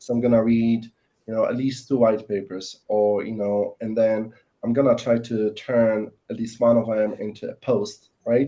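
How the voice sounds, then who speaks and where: A man with a non-native accent speaks at medium pitch and a moderate pace. His intonation is monotone and flat. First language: not English. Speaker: sales professional. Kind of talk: panel discussion. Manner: halting, many fillers.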